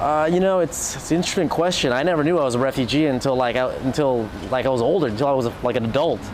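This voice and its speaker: With an American accent, a man speaks at a very fast pace in a fairly high pitch with ordinary pitch variation and very even loudness, amid noticeable background noise and audible room echo. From US West Coast, Orange County, California. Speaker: DJ. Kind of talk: interview. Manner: quiet by nature; halting, many restarts.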